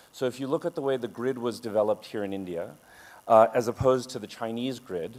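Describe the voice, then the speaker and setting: A man with an American accent speaks at a moderate pace, using medium pitch and ordinary pitch variation. He has a plain, everyday voice. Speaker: architect and urban designer. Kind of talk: conference talk. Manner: many filler sounds.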